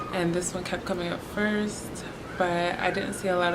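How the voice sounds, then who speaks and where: A woman at a fairly low pitch and moderate pace, with monotone, flat intonation, noticeable background noise and audible room echo. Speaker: beauty vlogger. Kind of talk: product review. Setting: hostel room. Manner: casual.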